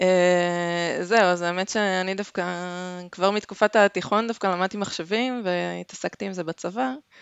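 At a moderate pace, a woman talks in an unremarkable speaking voice at medium pitch with fairly even intonation. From Israel, Haifa. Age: 40s. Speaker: software development manager. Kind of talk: casual interview. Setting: remote call.

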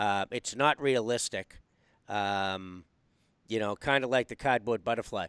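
A man with a normal speaking voice talks at a medium pitch and a fairly slow pace, with ordinary pitch variation. The sound is dry and close, with no echo. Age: 50s. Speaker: podcast host. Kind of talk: casual interview. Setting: video call.

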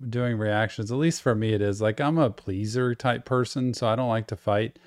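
A man has a normal speaking voice, medium in pitch, at a moderate pace. The recording is very clean with a silent background, dry and close with no echo. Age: 50s. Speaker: podcast host. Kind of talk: casual interview conversation.

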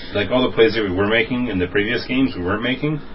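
Very fast speech from a man over noticeable background noise. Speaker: podcast co-host. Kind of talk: casual banter.

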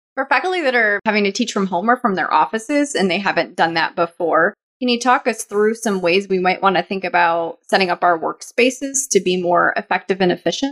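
Lively intonation and a fairly quick pace mark this woman's unremarkable speaking voice. The sound is dry and close, with no echo. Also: medium pitch for a woman, hardly any pauses. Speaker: podcast co-host. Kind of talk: podcast discussion.

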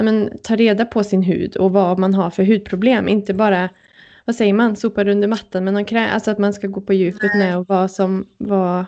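A woman talks at a fairly quick pace and medium pitch. Her intonation is monotone and flat. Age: 30s. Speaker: wedding podcast co-host. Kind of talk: casual chat.

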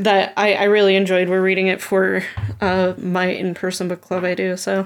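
An ordinary speaking voice belongs to this woman, pitched in the middle range. She talks at a moderate pace. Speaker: podcast guest. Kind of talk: casual chat.

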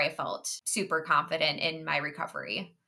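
With an American accent, the voice carries a bright, sharp tone and fairly even intonation. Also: woman. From Minnesota (Minneapolis). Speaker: health coach sharing eating disorder recovery story. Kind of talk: interview.

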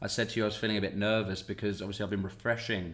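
In a British accent, a man with a fairly low voice talks at a very fast pace with monotone, flat intonation. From Britain. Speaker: podcast host, actor. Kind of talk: casual interview chat.

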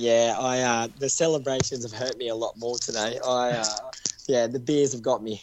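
With an Australian accent and monotone, flat intonation, a man speaks at a moderate pace over noticeable background noise. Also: medium pitch for a man. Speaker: marathon runner. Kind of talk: interview. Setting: phone call.

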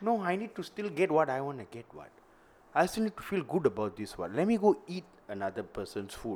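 With a Malaysian accent, a man talks at a fairly quick pace. His fairly high pitch makes very wide swings. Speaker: stand-up comedian. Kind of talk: casual chat.

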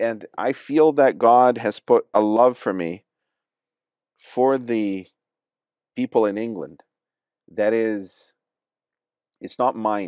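Speaking at medium pitch with ordinary pitch variation, a man goes at a very slow pace with long, frequent pauses, in a very clean, dry, close recording with a silent background and no echo. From Brazil. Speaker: podcast co-host. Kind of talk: casual chat.

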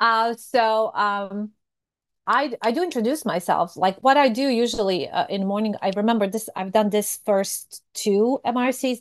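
Against a quiet background, a woman with a Serbian accent speaks at a fairly high pitch. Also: ordinary pitch variation, moderate pace. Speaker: fraud prevention professional. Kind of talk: casual chat.

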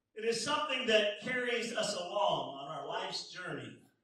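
A man uses a raised, projected voice at a fairly slow pace, and the room echo is audible. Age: 50s. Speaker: pastor. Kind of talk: sermon.

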